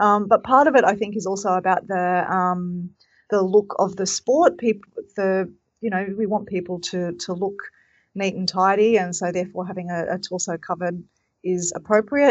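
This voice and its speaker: Speaking at a moderate pace, a woman talks in an Australian accent. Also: medium pitch for a woman, fairly even intonation. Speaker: triathlon technical official. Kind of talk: casual chat.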